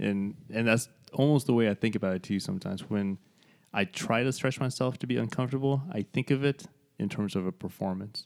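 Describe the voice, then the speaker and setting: Speech moves at a fairly quick pace in an ordinary speaking voice, with lively intonation. The sound is dry and close with no echo, and the recording is very clean over a silent background. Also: man, medium pitch for a man. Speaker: podcast co-host and artist. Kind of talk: casual conversational podcast chat.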